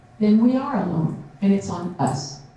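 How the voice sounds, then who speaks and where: A woman speaks at a very slow pace with very wide pitch swings. Audible room echo and noticeable background noise accompany her. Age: 70s. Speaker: conference speaker, Native elder and military veteran. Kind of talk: conference talk with audience Q&A.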